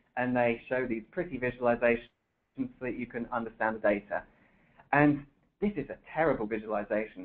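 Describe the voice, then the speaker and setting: A man with a British accent talks at a fairly quick pace, pitched medium with ordinary pitch variation. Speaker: software developer presenting a webinar. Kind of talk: webinar presentation.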